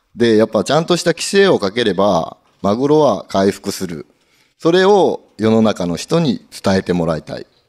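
This man talks at a moderate pace with medium pitch and very wide pitch swings. The background is quiet. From Nagasaki, Iki island; Nagasaki, Japan. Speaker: tuna fisherman; guest. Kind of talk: live talk show. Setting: event studio with live audience. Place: hall. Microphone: handheld.

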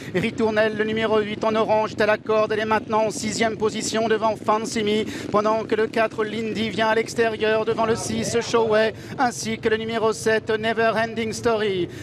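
Noticeable background noise sits behind a man with a high pitch. He talks in monotone, flat intonation at very even loudness. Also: moderate pace. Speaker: horse race commentator. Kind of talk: live horse race commentary. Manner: rising intensity toward the finish.

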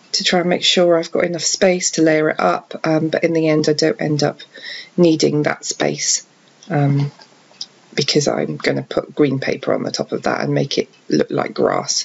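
A woman speaks quietly at a moderate pace. Background noise is noticeable. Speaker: card crafter. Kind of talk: craft tutorial voice-over. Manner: quiet, hushed; hesitant, many fillers.

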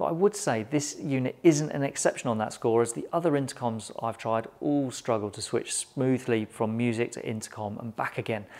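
At a fairly quick pace with few pauses, a man speaks at medium pitch with ordinary pitch variation and a slightly mellow tone.

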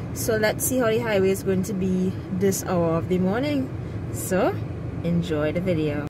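A woman delivers her words at an even, moderate speed while background noise stays clearly audible. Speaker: vlogger. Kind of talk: casual vlog chat. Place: car. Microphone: phone near.

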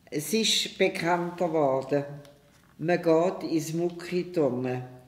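Audible room echo surrounds a woman whose fairly low voice shows ordinary pitch variation. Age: 80s+. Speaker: gymnastics teacher, founder of parent-child gymnastics. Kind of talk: interview answer. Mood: warm, cheerful. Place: home room.

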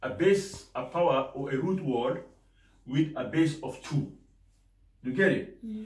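A man's fairly high voice with lively intonation, big swings in loudness, a fairly slow pace, long and frequent pauses, and audible room echo. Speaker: maths teacher. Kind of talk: lecture. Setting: classroom. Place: classroom.

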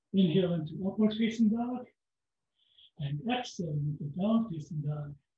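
A man with a high pitch at a moderate pace, with audible room echo. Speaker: yoga instructor. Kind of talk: guided yoga class with step-by-step pose and breath cues. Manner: steady instructive pacing, gentle imperatives. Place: home room. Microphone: camera far.

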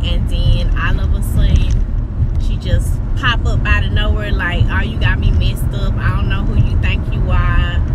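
A woman talks at a moderate pace. The sound is dry with no echo, though loud background noise is present. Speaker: vlogger. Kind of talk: casual vlog chat. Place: car. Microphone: phone near.

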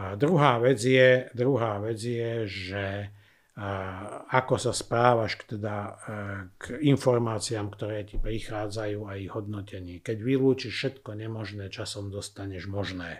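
Against a quiet background, a man with a fairly low pitch speaks at a fairly slow pace, his intonation fairly even but his loudness swinging widely. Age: 50s. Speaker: former criminal profiler. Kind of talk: interview. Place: studio. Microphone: studio mic.

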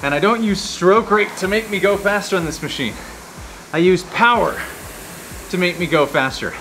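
Music plays behind a man speaking in a raised, projected voice. His pitch varies in an ordinary way. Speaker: rowing coach. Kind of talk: workout instruction. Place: gym. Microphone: lapel.

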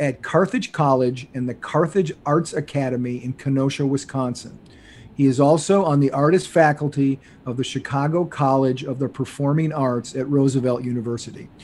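The pace of this man's speech is moderate. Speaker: podcast host. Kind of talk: reading a guest introduction. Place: home room. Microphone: studio mic.

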